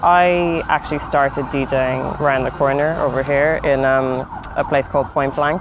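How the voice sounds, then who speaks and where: Over noticeable background noise, a woman speaks with a very deep, low pitch in a monotone, flat intonation. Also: moderate pace, very even loudness. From Ireland. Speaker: DJ. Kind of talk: interview.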